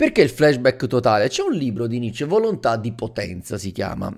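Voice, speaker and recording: A man talks at a fairly quick pace and a medium pitch over a quiet background. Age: 30s. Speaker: YouTuber and teacher; manga commentator streamer. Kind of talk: video commentary. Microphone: studio mic.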